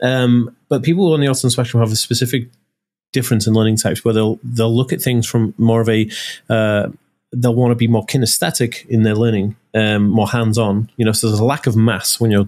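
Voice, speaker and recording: A man with a North Welsh accent, medium-pitched, very fast, with ordinary pitch variation and very even loudness. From North Wales, Anglesey. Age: 30s. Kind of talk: casual interview chat. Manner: animated.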